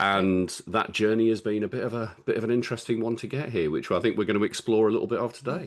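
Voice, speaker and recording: A man with a strong Birmingham accent speaks over a quiet background. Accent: Birmingham (Brummie), strong. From England, Birmingham. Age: 50s. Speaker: public speaking coach and men's mental health speaker. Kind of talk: podcast interview. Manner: halting, many repetitions.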